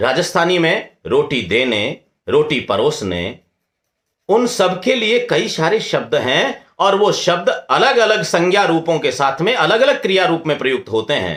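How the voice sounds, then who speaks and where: Keeping his loudness very even, a man speaks with a Rajasthani accent. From Rajasthan, India. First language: Rajasthani (speaking Hindi). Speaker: scholar, lecturer. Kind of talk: lecture. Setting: webinar.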